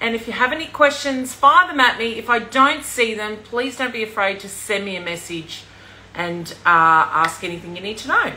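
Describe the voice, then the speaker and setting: A woman speaks at a moderate pace, her pitch swinging very widely and her loudness rising and falling sharply. Light background noise is audible. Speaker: presenter. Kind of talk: casual livestream chat. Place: kitchen. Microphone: phone near.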